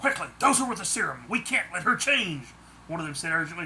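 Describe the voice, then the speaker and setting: Someone rattles off lines very fast in a put-on character voice at middle pitch, with clear background noise. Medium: read story. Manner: sneering.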